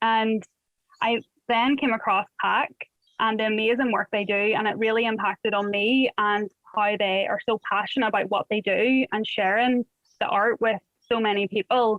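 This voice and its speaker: Speaking with a Northern Irish accent, a woman keeps a moderate pace, very even loudness, a fairly high pitch, and fairly even intonation. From Northern Ireland. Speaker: art workshop facilitator. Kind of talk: workshop introduction.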